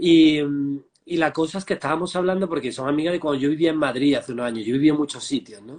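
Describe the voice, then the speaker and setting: A very fast-talking man with a fairly high pitch and ordinary pitch variation. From Andalusia, Spain (Marmolejo, Jaén). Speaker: transpersonal therapist. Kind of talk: interview.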